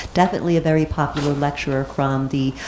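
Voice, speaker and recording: A woman keeps a fairly quick pace with noticeable background noise behind her. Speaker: society meeting host. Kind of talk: speaker introduction. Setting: meeting room with live audience. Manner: reading aloud.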